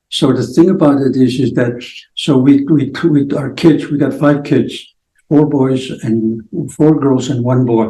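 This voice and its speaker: A man speaks fairly slowly in a somewhat breathy, dark, mellow voice, fairly high in pitch with fairly even intonation. Room echo is audible. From Blackfoot reserve, Alberta, Canada. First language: Blackfoot. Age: 70s. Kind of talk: interview. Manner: halting.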